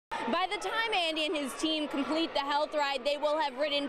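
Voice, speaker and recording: There is noticeable background noise behind this woman. She speaks at a high pitch and moderate pace. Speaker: TV news reporter. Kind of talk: TV news report.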